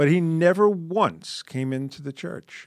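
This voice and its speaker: At a fairly slow pace, a man uses an ordinary speaking voice with lively intonation. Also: very clean recording, silent background. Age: 60s. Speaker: podcast guest. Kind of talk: casual chat.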